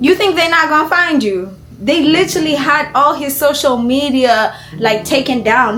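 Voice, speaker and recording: With noticeable background noise, a woman speaks in an animated tone at a moderate pace. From Kenya. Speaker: YouTuber, reaction commentator. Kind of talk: casual reaction commentary.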